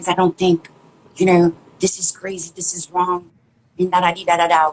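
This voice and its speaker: The sound is dry and close, with no echo. A woman talks at a medium pitch and a moderate pace. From Haiti. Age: 40s. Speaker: chef. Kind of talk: interview testimony. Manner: loud.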